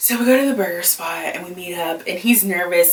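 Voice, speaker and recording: A woman's medium-pitched voice at a fairly quick pace, with lively intonation and noticeable background noise. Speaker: YouTuber, plus-size lifestyle creator. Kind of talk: storytime, casual monologue. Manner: loud; animated.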